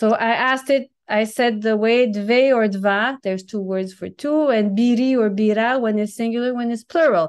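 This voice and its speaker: Speaking with a French accent, a woman keeps a moderate pace with hardly any pauses. Her pitch sits fairly high. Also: ordinary pitch variation. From New Brunswick, Canada (French-speaking). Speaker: language teacher and content creator. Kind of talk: casual interview.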